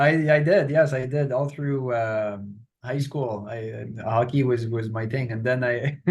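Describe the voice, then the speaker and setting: A man speaks in a somewhat breathy voice. Audible room echo surrounds him. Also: medium pitch for a man, ordinary pitch variation, fairly slow pace. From Quebec, near Montreal. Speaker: professor. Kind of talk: interview.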